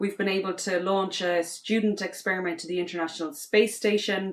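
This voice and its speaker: Speaking at a moderate pace with an Irish accent, a woman has a medium-pitched voice. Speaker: space university faculty member, astronaut candidate. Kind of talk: prepared self-introduction.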